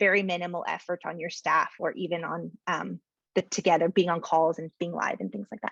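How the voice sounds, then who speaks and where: The pace is fairly quick. The sound is dry and close, with no echo. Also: woman. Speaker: product specialist presenting a webinar. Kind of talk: webinar Q&A. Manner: fast; animated.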